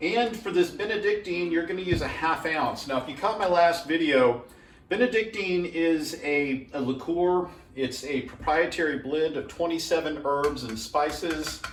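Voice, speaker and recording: Amid audible room echo and noticeable background noise, a man with a Southern US accent speaks in a relaxed tone at a high pitch with lively intonation. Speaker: home cocktail video maker. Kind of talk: casual tutorial. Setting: at home. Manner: relaxed, with fillers.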